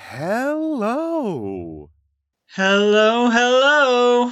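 A female-sounding voice speaks in a put-on character voice. Its pitch is high for a woman. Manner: eerie, drawn-out calling.

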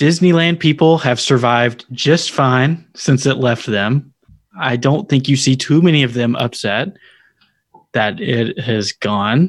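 Over a very clean recording with a silent background, a man speaks at a fairly slow pace in an American accent. His voice sits at a medium pitch, with lively intonation. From Tennessee, US South. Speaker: podcast host guest. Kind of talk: casual chat.

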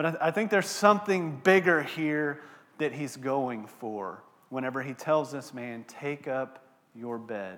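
A man with a Texan accent speaks at a fairly slow pace in a fairly high voice. His intonation is lively and his loudness swings widely. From Texas, Abilene. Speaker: pastor. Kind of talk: sermon. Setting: church.

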